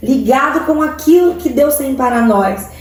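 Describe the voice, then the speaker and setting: A woman with a strong Cuiabá accent speaks at a very slow pace in a high pitch with ordinary pitch variation. Noticeable background noise and audible room echo are present. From Central-West Brazil, Várzea Grande/Cuiabá. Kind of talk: sermon-style online teaching.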